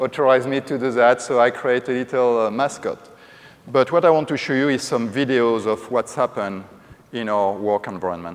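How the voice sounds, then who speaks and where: Here a man talks with a French accent at a medium pitch. His pace is fairly quick, and his pitch variation is ordinary. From France. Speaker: corporate safety executive. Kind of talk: conference presentation. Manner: hesitant with frequent fillers.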